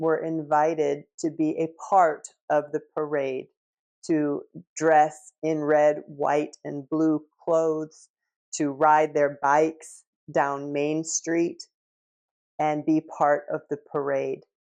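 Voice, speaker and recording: A woman's very deep, low voice at a very slow pace, with monotone, flat intonation. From United States. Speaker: English teacher. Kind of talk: language-learning talk to camera. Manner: slow, clear.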